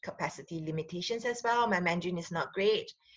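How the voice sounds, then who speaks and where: A woman is speaking. She has a Singaporean accent. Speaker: relationship counselor and sexologist. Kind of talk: casual talk to camera. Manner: hesitant, many fillers.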